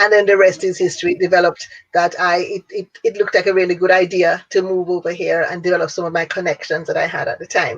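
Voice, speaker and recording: Barely pausing, a woman speaks at a very fast pace. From Jamaica. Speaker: business owner and networking organizer. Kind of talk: interview.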